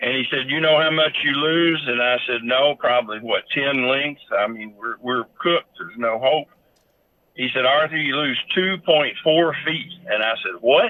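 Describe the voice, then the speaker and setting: In a Kentucky accent, a man speaks at a moderate pace with a fairly high pitch and ordinary pitch variation. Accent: Kentucky Southern US. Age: 70s. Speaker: horse breeder and owner. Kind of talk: interview storytelling.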